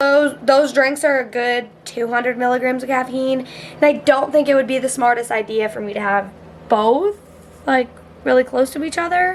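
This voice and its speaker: A woman speaks loudly at a high pitch and a moderate pace, with ordinary pitch variation. Noticeable background noise is audible. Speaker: fitness vlogger. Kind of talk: casual vlog chat. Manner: casual, filler-heavy.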